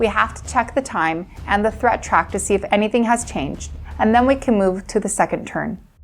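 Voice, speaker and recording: Over music in the background, a woman speaks at a fairly quick pace with an American accent. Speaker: voice-over narrator. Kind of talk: scripted narration.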